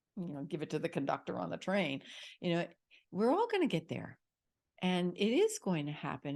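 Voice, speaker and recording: Against a quiet background, a woman with a fairly low pitch and an unremarkable speaking voice talks at a moderate pace. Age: 60s. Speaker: healing music vocalist. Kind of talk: casual chat.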